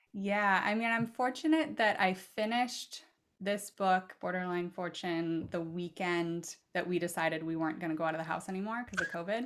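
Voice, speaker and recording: With an American accent, a woman talks in a normal speaking voice at a moderate pace, with ordinary pitch variation and hardly any pauses. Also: medium pitch for a woman, very clean recording, silent background. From Oregon, US Pacific Northwest. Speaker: author and poet. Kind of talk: casual interview conversation.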